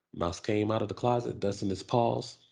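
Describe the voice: Delivered at a moderate pace, the voice has a dark, mellow tone with vocal fry and fairly even intonation. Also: man, fairly low pitch for a man.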